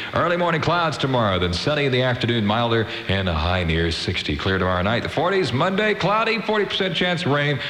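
Over noticeable background noise, a man talks fairly quickly, his pitch swinging very widely. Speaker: radio DJ. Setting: radio broadcast. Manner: fast, upbeat, jokey and animated, with a wisecracking, high-energy DJ delivery.

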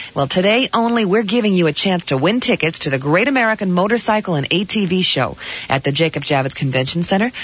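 Against noticeable background noise, the upbeat, playful voice races at a very fast pace with very wide pitch swings yet very even loudness. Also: woman, medium pitch for a woman. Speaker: radio DJ. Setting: radio broadcast. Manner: smooth, upbeat, breezy, quick-paced announcer delivery with playful asides and laughs.

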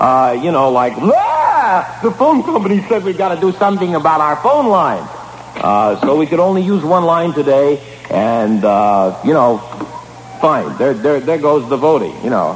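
Over noticeable background noise, a man with a high pitch speaks in very wide pitch swings. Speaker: radio disc jockey. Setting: radio studio broadcast, archived air check.

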